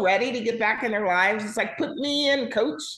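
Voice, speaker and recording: A woman's fairly high-pitched voice with lively intonation and audible room echo. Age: 60s. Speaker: casting director. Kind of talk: interview. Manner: animated.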